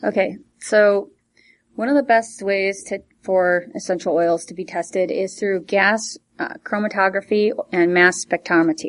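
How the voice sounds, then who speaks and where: A woman speaks at a moderate pace in an unremarkable speaking voice. Her pitch sits at a medium level with ordinary pitch variation. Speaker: essential oils distributor. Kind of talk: casual chat.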